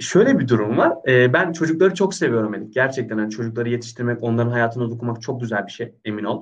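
Speaking at a very fast pace, the man keeps a medium pitch with ordinary pitch variation. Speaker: personal trainer. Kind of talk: casual chat. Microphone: unstable internet connection.

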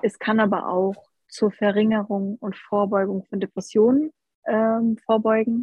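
A woman with an unremarkable speaking voice talks fairly slowly, her medium pitch held in fairly even intonation. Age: 20s. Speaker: health coach. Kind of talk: casual chat.

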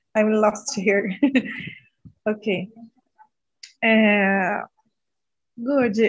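A woman's very slow, somewhat breathy speech in a Portuguese accent, fairly high in pitch with ordinary variation. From northern Brazil. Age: 30s. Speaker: medical student. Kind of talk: casual chat. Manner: halting.

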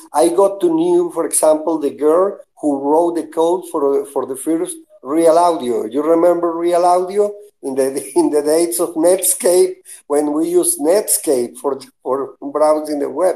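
A man with a Spanish accent speaks at a fairly slow pace. His voice is high-pitched with a dark, mellow tone. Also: ordinary pitch variation. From Venezuela. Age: 60s. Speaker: web pioneer. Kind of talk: casual chat.

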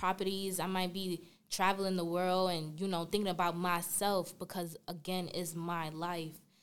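In a New York accent, a woman talks at a moderate pace with a medium pitch. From Brooklyn, New York. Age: 20s. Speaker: college senior. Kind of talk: casual interview.

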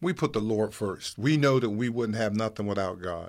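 Here is a man with an American accent and a normal speaking voice, pitched fairly low. His pitch varies in an ordinary way on a very clean recording with a silent background. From West Virginia, Wellsburg. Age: 60s. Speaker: small business owner. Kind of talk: interview.

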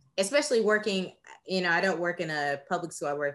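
Speaking with an American accent, a woman has an ordinary speaking voice, fairly low pitch and lively intonation. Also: quiet background. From Texas. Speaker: teacher and podcast co-host. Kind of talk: casual discussion.

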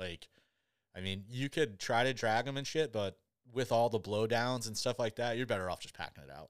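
A man's normal speaking voice at medium pitch, with ordinary pitch variation and a fairly quick pace, on a very clean recording against a silent background. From Michigan, US. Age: 30s. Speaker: podcast host, hunter. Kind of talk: casual chat.

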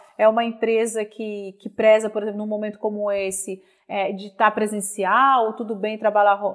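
A woman is the speaker here. She talks at a fairly high pitch. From Minas Gerais, Brazil. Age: 40s. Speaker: headhunter and HR consultant. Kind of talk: interview conversation. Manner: hesitant fillers.

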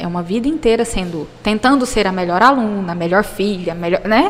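The woman's intonation is lively, and noticeable background noise sits behind her voice. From Brazil, interior of Goiás (Jataí). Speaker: pediatrician. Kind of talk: interview. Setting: recorded at a medical school event.

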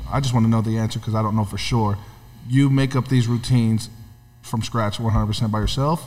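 A man's medium-pitched, somewhat breathy voice with an American accent, fairly quick and fairly even in intonation. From California. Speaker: podcast co-host. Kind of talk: casual interview.

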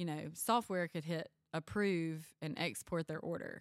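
A woman with a Mississippi accent talks at a fairly slow pace. The recording is very clean, with a silent background. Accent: Mississippi Southern. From US South. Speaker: school nutrition director. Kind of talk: casual chat. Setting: in person.

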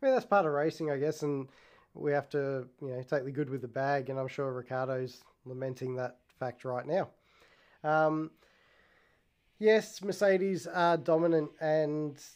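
Pausing long and often, a man speaks at a moderate pace with a fairly high pitch and ordinary pitch variation. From Australia. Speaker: podcast host. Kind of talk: casual solo talk.

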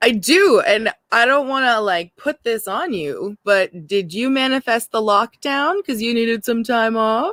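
With a normal speaking voice, a woman talks at a fairly high pitch and fairly slow pace, using lively intonation and hardly any pauses, in a dry, close sound with no echo. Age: 30s. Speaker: podcast co-host. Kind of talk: casual chat.

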